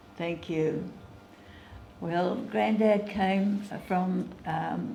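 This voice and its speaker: There's noticeable noise in the background. Over it, a woman talks. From Australia. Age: 80s+. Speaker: retired butcher shop manager. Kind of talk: interview answer.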